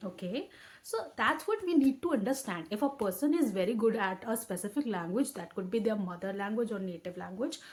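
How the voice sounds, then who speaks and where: At a fairly quick pace, a somewhat breathy woman speaks with fairly high pitch and lively intonation. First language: Hindi. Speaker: educational YouTuber. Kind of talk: tutorial. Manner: halting, with frequent self-corrections.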